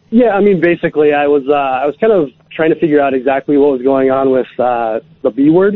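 Speaking at a fairly quick pace in a plain, everyday voice, a man with an American accent has a fairly high pitch and ordinary pitch variation. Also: hardly any pauses. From Alaska, Anchorage. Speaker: caller. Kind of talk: phone-in chat. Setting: phone call.

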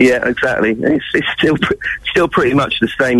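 Noticeable background noise behind a man, his pitch varying in an ordinary way. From England. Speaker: rock guitarist. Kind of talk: radio interview.

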